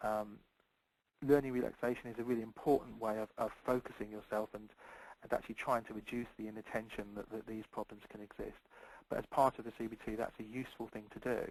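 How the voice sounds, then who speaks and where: A man of medium pitch talks at a very fast pace in a monotone, flat intonation. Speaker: clinical specialist presenter. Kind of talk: presentation.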